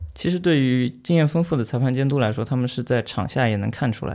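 A man talks at a very fast pace and a medium pitch in a dark, mellow tone, with ordinary pitch variation. The recording is very clean, with a silent background. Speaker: student and amateur football referee. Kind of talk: interview conversation.

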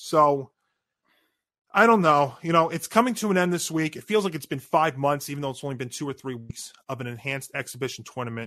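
A man's animated voice, fairly high-pitched, with a bright, sharp tone, lively intonation, a fairly quick pace and big swings in loudness, over a quiet background. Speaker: sports talk show host. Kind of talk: casual sports talk. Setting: video show. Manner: animated, talkative.

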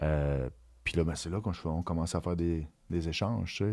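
Speaking at a moderate pace, a man has a very deep, low pitch and a dark, mellow tone. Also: very clean recording, silent background. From Quebec, Rouyn-Noranda. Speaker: rapper and record label founder. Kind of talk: interview.

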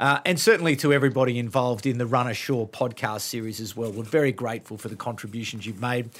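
At a very fast pace and with hardly any pauses, a man talks at medium pitch with ordinary pitch variation. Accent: Australian. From Sydney, Australia. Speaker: podcast host. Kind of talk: casual chat. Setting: studio.

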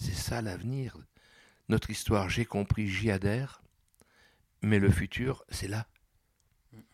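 Recorded very cleanly against a silent background, a man speaks at a very slow pace with long, frequent pauses. His voice is fairly low, with fairly even intonation. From Réunion. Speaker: political activist. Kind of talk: interview. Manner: halting.

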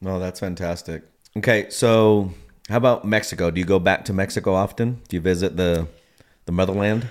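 The intonation is fairly even. The recording is very clean, with a silent background. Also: man, very deep, low pitch for a man, fairly quick pace. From Puerto Rico. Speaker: podcast host. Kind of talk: interview conversation.

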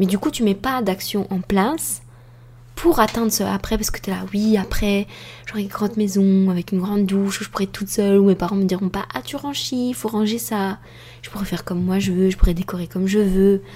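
Her voice is dark, mellow and somewhat breathy, at a medium pitch. The woman talks at a fairly quick pace with ordinary pitch variation. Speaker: podcast host and life coach. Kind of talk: solo podcast monologue. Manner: calm, composed; halting.

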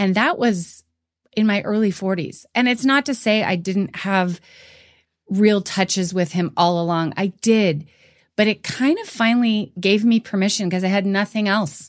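In a very clean recording with a silent background, a woman with an American accent uses a plain, everyday voice at medium pitch, ordinary pitch variation and a moderate pace. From US West Coast, San Francisco Bay Area. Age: 50s. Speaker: former middle school teacher, book discussion guest. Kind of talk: casual book discussion.

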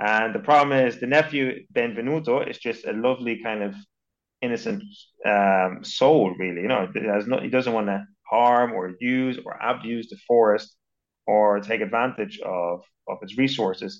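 At a moderate pace, a man talks in a normal speaking voice at medium pitch, with ordinary pitch variation and big swings in loudness. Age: 30s. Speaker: book podcast co-host. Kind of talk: casual chat. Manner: jokey.

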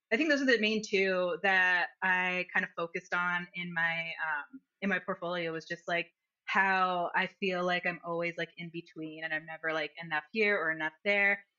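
A woman with an American accent has an ordinary speaking voice and fairly low pitch. She talks at a moderate pace with fairly even intonation. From New Jersey, US; Colombian family. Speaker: product designer. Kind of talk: casual chat.

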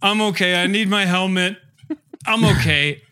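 Someone puts on a nasal character voice at a middle pitch, talking at a moderate pace. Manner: exaggerated, comedic.

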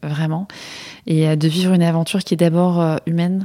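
A woman's fairly low, dark, mellow voice in a monotone, flat intonation, with a dry, close sound and no echo. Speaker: startup co-founder. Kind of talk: interview.

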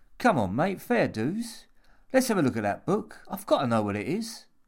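A man does a put-on character voice, pitched fairly high with very wide swings and vocal fry, at a moderate pace.

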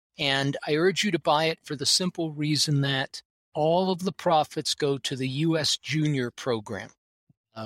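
On a very clean recording with a silent background and a dry, close sound with no echo, a man speaks at a moderate pace in a bright, sharp tone with ordinary pitch variation. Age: 60s. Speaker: bridge player and junior coach. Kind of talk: casual interview chat.

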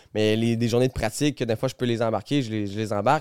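Speaking at a very fast pace, a man with a Quebec accent has a fairly low voice and fairly even intonation. The sound is dry and close with no echo, and the recording is very clean with a silent background. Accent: Québécois French. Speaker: race car driver. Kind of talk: casual chat.

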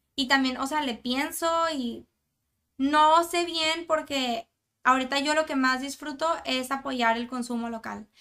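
With a raised, projected voice, a woman speaks fairly slowly at a high pitch, her tone bright and sharp and her intonation fairly even. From Monterrey, Mexico. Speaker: content creator. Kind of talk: casual chat.

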